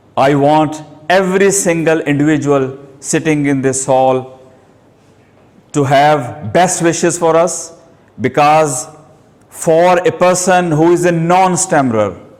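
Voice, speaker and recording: A man speaks at a fairly slow pace, leaving long, frequent pauses. His pitch varies in an ordinary way, and room echo is audible. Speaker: person who stammers, self-help group leader. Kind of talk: short speech. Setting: hall with audience.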